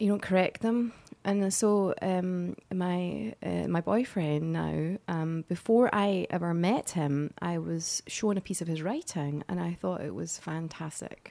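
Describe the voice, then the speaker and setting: A woman with a Scottish accent at a fairly slow pace, with hardly any pauses. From Scotland. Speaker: actress. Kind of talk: casual interview chat.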